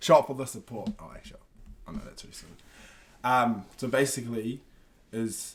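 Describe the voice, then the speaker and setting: Speaking at a moderate pace, a man with a New Zealand accent has a medium-pitched voice. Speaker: podcast host. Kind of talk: casual interview chat.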